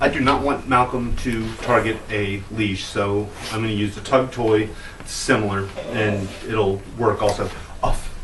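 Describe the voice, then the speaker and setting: A man's voice amid noticeable background noise, with audible room echo. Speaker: dog trainer. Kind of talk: tutorial.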